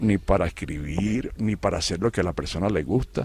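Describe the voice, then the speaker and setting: A man speaks in a fairly low-pitched voice. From Venezuela. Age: 70s. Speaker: retired educator and writer. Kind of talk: interview. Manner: halting, many repetitions.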